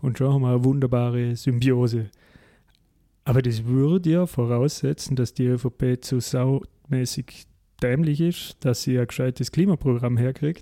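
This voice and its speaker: Dry and close with no echo, a man's dark, mellow voice sits at a medium pitch, with a moderate pace, fairly even intonation and very even loudness. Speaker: podcast host. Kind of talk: casual political discussion.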